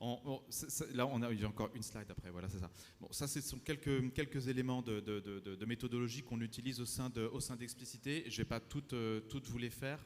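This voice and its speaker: Fairly quick and with hardly any pauses, a man speaks at a medium pitch. His intonation stays fairly even. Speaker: conference panelist, urban development consultant. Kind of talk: conference talk with slides. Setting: conference room with audience. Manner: fast; halting, many repetitions.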